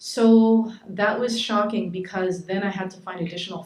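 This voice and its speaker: In a Montreal accent, a woman speaks at a moderate pace with audible room echo around her. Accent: Canadian English, Montreal. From Montreal, Quebec (adopted from Saskatchewan). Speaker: shelter director and community activist. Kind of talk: panel talk.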